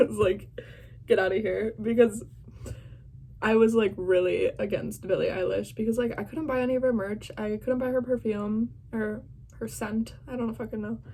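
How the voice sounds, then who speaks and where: Dark, mellow tone with fairly even intonation. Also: woman, fairly high pitch for a woman, moderate pace. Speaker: vlogger reacting to an interview. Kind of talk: casual reaction vlog. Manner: loud.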